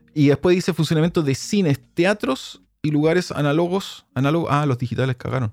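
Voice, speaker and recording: At a fairly quick pace, a man with a Chilean accent speaks in a fairly high voice with ordinary pitch variation, the sound dry and close with no echo. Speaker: podcast host, sound engineer. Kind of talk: casual chat.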